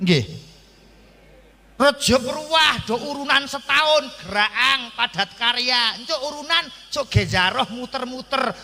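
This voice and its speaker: A man talks at a fairly slow pace in a raised, projected voice with an animated tone and ordinary pitch variation. Noticeable background noise is present. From Central Java, Kendal/Temanggung. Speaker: Islamic preacher. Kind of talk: sermon. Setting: stage with audience, PA system.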